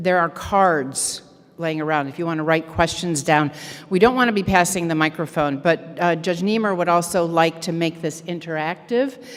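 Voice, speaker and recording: Against noticeable background noise, a woman talks at a moderate pace in a fairly low pitch with ordinary pitch variation. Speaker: event organizer. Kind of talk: announcements. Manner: loud.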